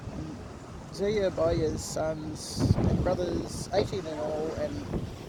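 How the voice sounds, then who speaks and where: Against noticeable background noise, a woman with a very deep, low pitch talks at a very slow pace with ordinary pitch variation. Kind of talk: scripture reading. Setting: outdoors.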